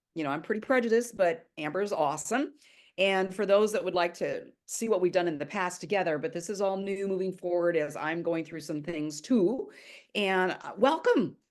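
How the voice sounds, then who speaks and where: An ordinary speaking voice at a fairly quick pace, with ordinary pitch variation and a quiet background. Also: woman, medium pitch for a woman. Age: 60s. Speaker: spiritual YouTuber, human design student. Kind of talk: casual chat. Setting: video call.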